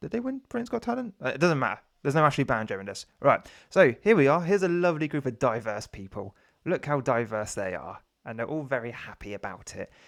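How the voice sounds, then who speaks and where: On a very clean recording with a silent background, a man talks at a very fast pace, his fairly high pitch making very wide swings. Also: big swings in loudness. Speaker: YouTube commentator. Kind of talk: opinion commentary. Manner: hesitant with many fillers.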